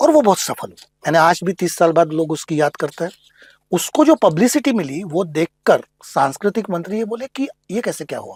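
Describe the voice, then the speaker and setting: A man speaks at a moderate pace in a high pitch with lively intonation. The sound is dry and close, with no echo. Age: 60s. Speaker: writer, actor and theatre professor. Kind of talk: podcast interview.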